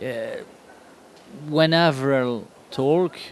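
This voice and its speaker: A man with a French accent speaks with ordinary pitch variation. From France. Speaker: comic artist. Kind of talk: interview. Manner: halting.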